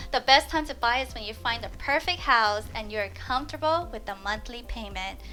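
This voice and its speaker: A woman with an American accent speaks at a moderate pace with a high pitch and lively intonation. Music plays in the background. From US West Coast, Los Angeles. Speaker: real estate agent. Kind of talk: scripted tutorial.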